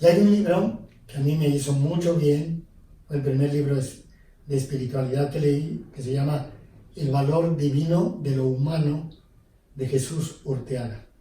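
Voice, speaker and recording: Audible room echo frames a man speaking at a fairly high pitch. He goes at a fairly slow pace with fairly even intonation. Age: 70s. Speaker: priest. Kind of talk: interview. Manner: hesitant, with fillers.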